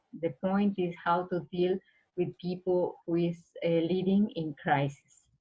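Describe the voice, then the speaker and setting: This woman speaks at a fairly slow pace, her voice somewhat breathy and fairly low in pitch. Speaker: conference participant, teacher. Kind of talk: conference discussion comment. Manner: halting.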